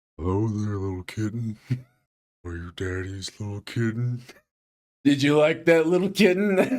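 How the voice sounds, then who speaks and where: A man's put-on character voice at medium pitch, broken by long, frequent pauses. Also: moderate pace. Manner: creepy, leering.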